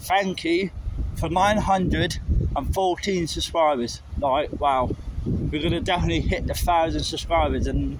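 A man over noticeable background noise, in a dry sound with no echo. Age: 20s. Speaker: travel vlogger. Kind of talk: walking vlog. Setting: outdoors. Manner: casual, hesitant with fillers. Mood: unwell, apologetic. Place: street. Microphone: phone near.

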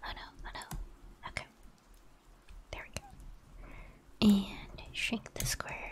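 The voice is a whisper, moving at a fairly slow pace. Long pauses break in frequently. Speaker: ASMR streamer who draws digital emotes live. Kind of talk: casual live-stream chatting while drawing. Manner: whispered, soft ASMR delivery. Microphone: studio mic.

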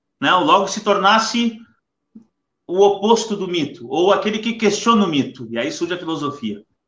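Audible room echo follows a man speaking at a moderate pace with a high pitch and ordinary pitch variation. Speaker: live stream host. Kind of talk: casual chat. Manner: halting. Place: home room. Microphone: webcam.

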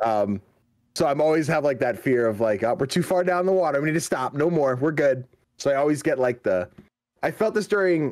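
Fairly quick speech from a man, with lively intonation and very even loudness against a quiet background. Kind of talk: casual chat. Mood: relaxed, joking. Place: home room. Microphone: video call.

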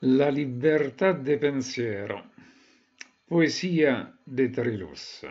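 A man with a Roman accent talks at a very slow pace, with ordinary pitch variation and long, frequent pauses. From Rome, Italy.

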